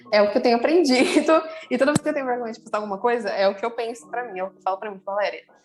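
Noticeable background noise sits under very fast speech with ordinary pitch variation. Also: woman. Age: 20s. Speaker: eyebrow designer. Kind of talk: casual chat.

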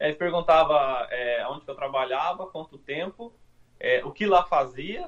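At a moderate pace, a man with a normal speaking voice talks in a fairly high pitch. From Brazil, interior of São Paulo state. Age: 30s. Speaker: forklift operator turned immigrant. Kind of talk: casual interview. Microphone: phone mic, speaking quietly.

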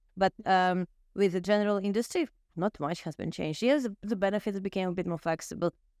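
A woman's medium-pitched voice at a very fast pace, ordinary pitch variation, dry, close sound with no echo. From Ukraine. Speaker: HR professional. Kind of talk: casual interview. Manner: halting, hesitant with fillers.

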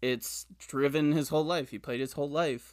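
The recording is very clean, with a silent background. A man speaks in an ordinary speaking voice with a fairly high pitch. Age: 20s. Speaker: podcast host. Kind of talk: interview.

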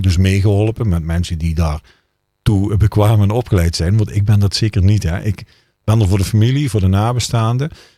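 Speaking at a moderate pace, a man has a very deep, low pitch and a dark, mellow tone. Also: very clean recording, silent background. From Netherlands, Limburg (Brunssum). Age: 40s. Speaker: funeral director. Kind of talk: casual interview chat.

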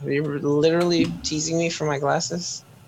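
A man with a plain, everyday voice and a fairly high pitch speaks at a moderate pace. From Canada. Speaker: podcast co-host. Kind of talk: casual chat.

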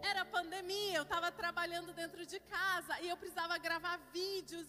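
A woman speaks at a moderate pace in an extremely high pitch. Her voice is raised and projected, with a bright, sharp tone. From Curitiba, southern Brazil. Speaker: pastor. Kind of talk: sermon.

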